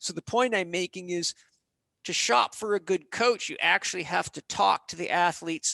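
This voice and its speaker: A high-pitched man with a bright, sharp tone and big swings in loudness is heard in a dry, close sound with no echo against a quiet background. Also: ordinary pitch variation, moderate pace. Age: 50s. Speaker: holistic health and exercise expert. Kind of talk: podcast interview. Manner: animated.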